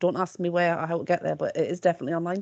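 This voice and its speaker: Speaking at a very fast pace, a woman with a medium pitch comes through with a dry, close sound with no echo over a quiet background. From Scotland, South Lanarkshire. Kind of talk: webinar discussion.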